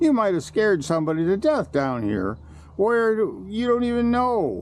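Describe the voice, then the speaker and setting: A put-on character voice from a man, high-pitched, at a moderate pace. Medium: read story. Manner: chuckling.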